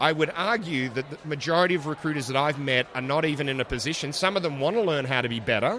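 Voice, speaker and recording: Noticeable background noise runs under the recording. A man speaks very fast in a fairly high voice with ordinary pitch variation. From Australia. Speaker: AI evangelist at tech company. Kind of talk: casual interview. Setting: live at conference event.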